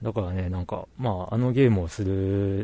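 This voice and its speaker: His tone is dark and mellow, and his pitch sits fairly low. The man's intonation stays fairly even. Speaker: podcast host. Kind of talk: casual chat. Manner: casual, joking.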